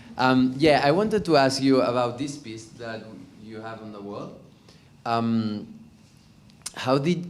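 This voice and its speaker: A man with a medium pitch speaks at a fairly slow pace with lively intonation, big swings in loudness and long, frequent pauses. Audible room echo surrounds him. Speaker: audience member. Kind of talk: audience question. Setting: gallery with audience.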